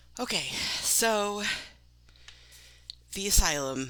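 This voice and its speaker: Her voice bright and sharp, a woman speaks with lively intonation and vocal fry. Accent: American. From Maine, US. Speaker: author talking about her books. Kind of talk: casual monologue. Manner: hesitant, many fillers.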